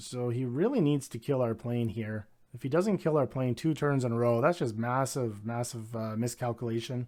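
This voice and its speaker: A dark, mellow tone with ordinary pitch variation and hardly any pauses. The recording is very clean, with a silent background. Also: man, medium pitch for a man. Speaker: gaming video creator. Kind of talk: live gameplay commentary. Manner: fast; casual with filler words.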